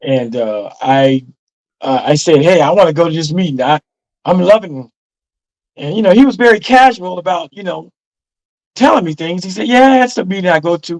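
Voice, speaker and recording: With a high pitch and very wide pitch swings, a man speaks at a moderate pace, with big swings in loudness and long, frequent pauses. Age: 60s. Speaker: former cult member. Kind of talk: interview testimony. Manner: halting, many fillers.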